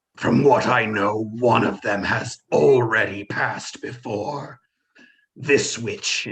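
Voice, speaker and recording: Booming and growling, a man's put-on character voice holds a medium pitch. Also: fairly slow pace. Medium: actual play. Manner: commanding, repetitive demands.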